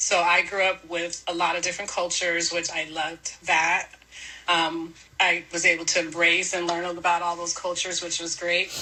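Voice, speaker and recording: With an American accent, a woman of fairly low pitch speaks at a moderate pace in a flat monotone, over noticeable background noise. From US West Coast, San Diego. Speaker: mother, podcast guest. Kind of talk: podcast interview.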